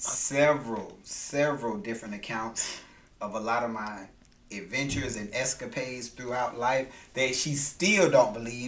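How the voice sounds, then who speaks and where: Audible room echo surrounds a man talking at a fairly slow pace. His pitch is medium. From US South, Macon, Georgia. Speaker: podcast host's husband. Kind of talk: casual chat.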